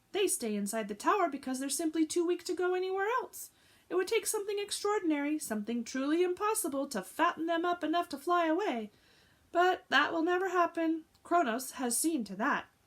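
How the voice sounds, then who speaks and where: A woman talks at a fairly quick pace in a put-on character voice that is squeaky and extremely high in pitch. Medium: read story. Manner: rambling, drowsy.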